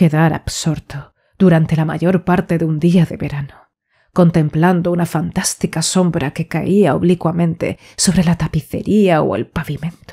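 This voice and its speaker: A woman's fairly low, somewhat breathy voice, dark and mellow, at a fairly slow pace with fairly even intonation, in a very clean recording with a silent background. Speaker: audiobook narrator. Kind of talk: audiobook reading of a horror short story. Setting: home studio, USB condenser microphone.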